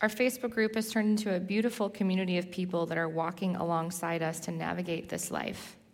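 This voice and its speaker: Very fast and with hardly any pauses, a woman in a Californian accent talks at medium pitch with ordinary pitch variation. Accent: Californian American English. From Southern California. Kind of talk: sermon testimony.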